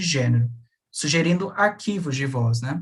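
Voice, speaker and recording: Delivered at a moderate pace, a plain, everyday voice carries lively intonation. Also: man. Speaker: graduate researcher. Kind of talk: academic seminar presentation.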